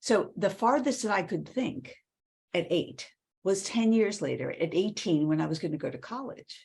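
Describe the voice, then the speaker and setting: A woman with an American accent talks at a medium pitch, with lively intonation and vocal fry. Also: moderate pace. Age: 70s. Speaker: author and women's leadership speaker. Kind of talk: interview conversation.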